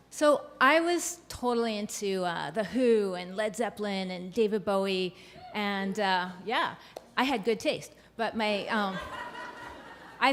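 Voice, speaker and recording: Speaking fairly slowly, a woman with an unremarkable speaking voice uses a medium pitch and lively intonation. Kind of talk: live storytelling performance. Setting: live stage with audience.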